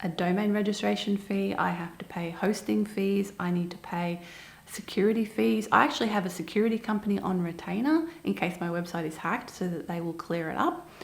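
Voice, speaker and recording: A somewhat breathy woman with an Australian accent speaks at a fairly quick pace, medium in pitch with ordinary pitch variation. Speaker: online seller and business video host. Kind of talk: casual explainer to camera. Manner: conversational, emphatic.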